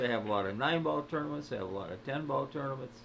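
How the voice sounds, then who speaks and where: Over audible room echo, a man with a medium pitch makes very wide pitch swings. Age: 80s+. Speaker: pool commentator. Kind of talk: live commentary. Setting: pool hall. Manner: loud.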